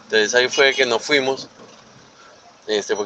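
A man's medium-pitched voice, showing ordinary pitch variation, comes through noticeable background noise. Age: 40s. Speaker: radio show caller. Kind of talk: anecdote told to radio show.

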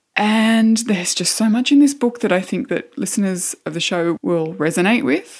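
A woman with an Australian accent talks at a moderate pace with lively intonation. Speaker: podcast host. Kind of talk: casual chat.

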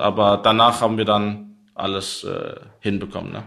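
A man speaks with a Danish accent. His pitch is medium and his pace moderate. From Denmark, Copenhagen. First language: Danish (speaking German). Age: 30s. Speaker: esports pro player. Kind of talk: interview. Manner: halting.

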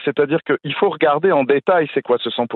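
Male speaker with lively intonation. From France, between Paris and Strasbourg. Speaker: gastroenterologist. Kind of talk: radio interview.

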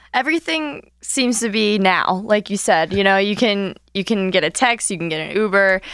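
A woman with a plain, everyday voice speaks at a medium pitch and a moderate pace, with ordinary pitch variation and hardly any pauses. The recording is very clean, with a silent background. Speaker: former athlete and advertising sales rep. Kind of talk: casual radio interview. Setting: studio.

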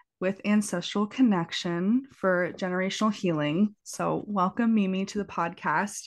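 At a moderate pace, this is an unremarkable speaking voice heard against a quiet background. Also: woman. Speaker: podcast host. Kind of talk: casual interview chat. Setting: recorded remotely, cat in background.

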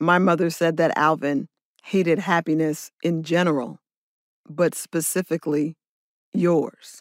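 On a very clean recording with a silent background and a dry, close sound with no echo, a woman with an American accent talks at a very slow pace, her pitch fairly low with ordinary variation. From California, Oakland and Los Angeles. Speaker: music journalist and author. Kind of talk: interview.

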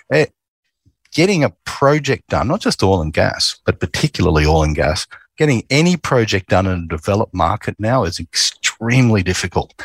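A man with an Australian accent speaks at a fairly quick pace in a fairly low pitch with very wide pitch swings. The sound is dry and close with no echo, on a very clean recording with a silent background. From Queensland, Australia. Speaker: oil company executive. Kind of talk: interview.

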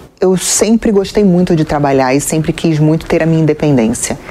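Over noticeable background noise, a woman speaks at a fairly quick pace with a very deep, low pitch and ordinary pitch variation. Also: very even loudness. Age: 40s. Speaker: TV presenter and journalist. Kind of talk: interview.

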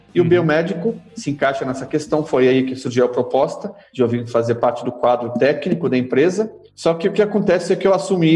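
A man talks at a fairly quick pace with lively intonation while music plays in the background. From Brazil, São Paulo city. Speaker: halal certification manager. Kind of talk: casual interview.

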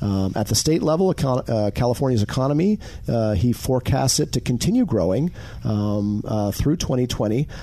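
With a normal speaking voice, a man talks at a moderate pace and medium pitch, his intonation lively and his loudness very even. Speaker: co-host. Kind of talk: radio host patter. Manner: conversational, easygoing.

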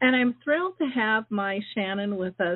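A woman speaks in a normal speaking voice at a fairly high pitch. Her intonation is lively. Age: 60s. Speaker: radio host. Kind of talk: radio announcements; live radio interview. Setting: radio studio, live call-in show.

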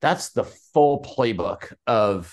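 Against a quiet background, a man speaks with an American accent. His pitch is medium, with ordinary variation. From US West Coast, Portland, Oregon. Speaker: business consultant and author. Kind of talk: interview. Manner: halting, with repetitions and fillers.

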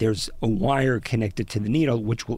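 This man's voice sits at a medium pitch and sounds somewhat breathy. He talks at a moderate pace with ordinary pitch variation. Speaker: radio reporter. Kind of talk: interview. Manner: breathless, runs out of breath.

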